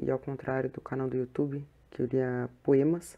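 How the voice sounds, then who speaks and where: Soft-spoken, a woman talks with a very deep, low pitch. Her pace is fairly slow and her intonation fairly even. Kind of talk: casual introduction to live audience.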